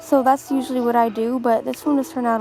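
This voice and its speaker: A woman's fairly high-pitched voice over music in the background. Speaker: artist. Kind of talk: casual art video voiceover.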